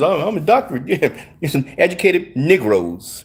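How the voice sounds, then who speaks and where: Using vocal fry, a man speaks at a moderate pace with a fairly high pitch and very wide pitch swings. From New York City (South Bronx). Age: 60s. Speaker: livestreamer. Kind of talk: political rant. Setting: livestream. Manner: animated.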